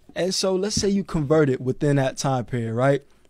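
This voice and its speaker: Over a quiet background, a man's dark, mellow tone comes through dry, with no echo. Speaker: co-host of a financial talk show. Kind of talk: casual educational chat. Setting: pre-recorded at an office. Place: studio. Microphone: studio mic.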